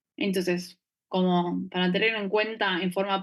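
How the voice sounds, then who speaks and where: Her medium-pitched voice carries fairly even intonation as this woman speaks. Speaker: anesthesiology resident teaching a class. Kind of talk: lecture. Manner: fast.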